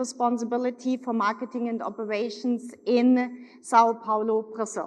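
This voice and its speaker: In a German accent, a woman speaks with a high pitch. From Germany, Munich. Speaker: corporate executive. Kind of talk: keynote speech. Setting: stage with audience.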